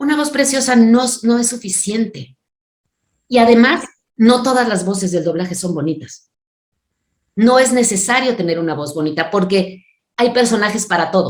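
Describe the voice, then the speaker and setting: Animated in tone, a woman with a fairly high pitch speaks at a moderate pace with lively intonation and long, frequent pauses. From Mexico City. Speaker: voice actress and dubbing director. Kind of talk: interview.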